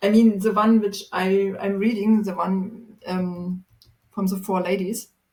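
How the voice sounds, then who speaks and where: A woman with a German accent speaks at a very slow pace in a monotone, flat intonation. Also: medium pitch for a woman. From Germany, Magdeburg. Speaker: people and culture professional. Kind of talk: casual chat. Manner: halting.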